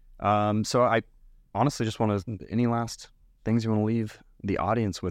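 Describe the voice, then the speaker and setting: Over a silent background in a very clean recording, a man speaks at a fairly low pitch with monotone, flat intonation. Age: 20s. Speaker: podcast host. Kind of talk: casual interview.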